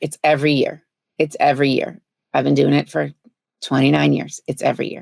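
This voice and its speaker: A woman puts on a raspy character voice and speaks at a fairly quick pace. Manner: weary, flat, unenthusiastic.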